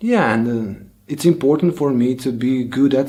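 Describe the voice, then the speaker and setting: Spoken at a fairly slow pace in a Bosnian accent, the voice has a dark, mellow tone and ordinary pitch variation. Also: man. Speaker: language learning youtuber. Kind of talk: personal vlog monologue. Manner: halting, with fillers.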